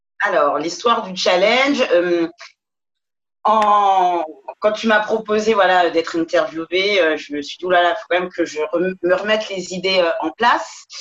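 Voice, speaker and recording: A woman with a plain, everyday voice speaks at a fairly slow pace and medium pitch, with ordinary pitch variation and big swings in loudness. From Paris. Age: 40s. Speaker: yoga teacher. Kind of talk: interview.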